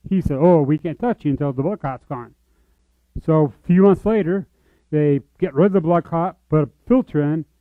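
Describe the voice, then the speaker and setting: A man with an ordinary speaking voice, fairly high in pitch, with ordinary pitch variation at a moderate pace. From US, military family, born in Georgia. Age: 40s. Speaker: church member sharing life story. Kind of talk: testimony.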